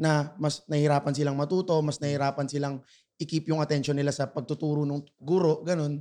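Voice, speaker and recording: A man talks at a fairly quick pace in a fairly high voice with monotone, flat intonation. The background is quiet. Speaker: podcast co-host. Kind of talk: casual chat.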